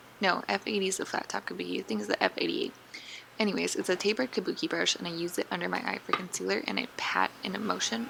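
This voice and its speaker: A woman at a very fast pace, with noticeable background noise. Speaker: beauty vlogger. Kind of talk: tutorial. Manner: casual.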